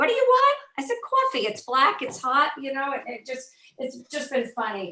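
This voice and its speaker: Delivered at a moderate pace, a woman's speech rises and falls sharply in volume. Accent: New Jersey. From North Jersey, US. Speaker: former special education teacher. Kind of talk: casual chat.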